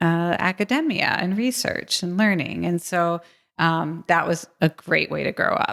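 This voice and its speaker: Recorded very cleanly against a silent background, a woman with an American accent talks at a fairly slow pace in a fairly low pitch, with ordinary pitch variation and an unremarkable speaking voice. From US East Coast, suburban Philadelphia. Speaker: futurist and game designer. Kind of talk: interview.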